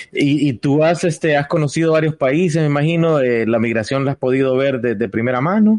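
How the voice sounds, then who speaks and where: A man's fairly high voice, an unremarkable speaking voice, at a fairly quick pace with hardly any pauses, ordinary pitch variation and very even loudness. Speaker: podcast host. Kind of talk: casual chat.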